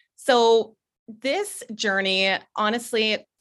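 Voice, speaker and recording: In a very clean recording with a silent background, a woman with a Canadian accent sounds animated, her tone bright and sharp. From Ontario, Canada. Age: 30s. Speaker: self-acceptance advocate. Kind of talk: interview.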